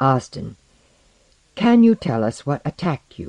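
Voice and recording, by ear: A man puts on a character voice at a slow pace and medium pitch, with vocal fry, big pitch swings and a slightly mellow tone, recorded dry and close with no echo.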